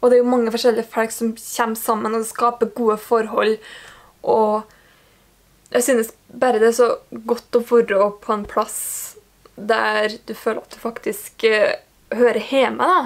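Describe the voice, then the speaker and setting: A woman's fairly high voice in a Norwegian accent, monotone and flat, at a moderate pace with long, frequent pauses. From Norway. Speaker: book vlogger. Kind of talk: casual vlog talk. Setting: indoors at home under ceiling lamp.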